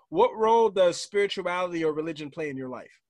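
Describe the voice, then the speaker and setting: Speaking at a fairly quick pace with lively intonation, a man sounds dry with no echo against a quiet background. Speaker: podcast host and motivational coach; podcast host, motivational coach. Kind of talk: casual interview. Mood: upbeat, friendly. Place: home room. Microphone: studio mic.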